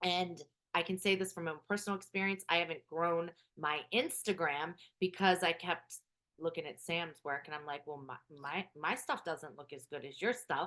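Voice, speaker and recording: At a moderate pace, a woman with a fairly low voice and a bright, sharp tone speaks with ordinary pitch variation and big swings in loudness. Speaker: spiritual business coach. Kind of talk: live group coaching call. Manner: projects voice, louder.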